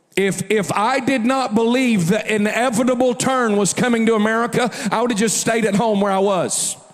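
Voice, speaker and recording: In an animated tone, a man talks at a moderate pace with hardly any pauses, a high pitch and very even loudness, over noticeable background noise and audible room echo. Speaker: preacher. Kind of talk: sermon.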